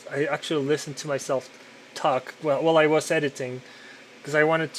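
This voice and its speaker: This man's pitch is fairly high. He speaks in a flat monotone over noticeable background noise. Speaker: podcaster and digital artist. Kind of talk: casual monologue while working. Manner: loud; halting with repetitions.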